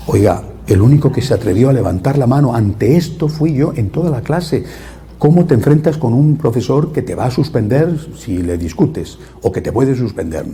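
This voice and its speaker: A man talks at a moderate pace with lively intonation and a medium pitch. Noticeable background noise sits behind him. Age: 60s. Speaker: priest. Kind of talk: religious talk. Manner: halting.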